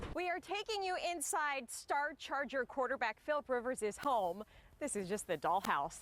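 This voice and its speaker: Noticeable background noise sits behind a woman with a high pitch and very wide pitch swings. Her loudness stays very even as she talks at a moderate pace. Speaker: television news anchor and reporter. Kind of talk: TV news anchor delivery.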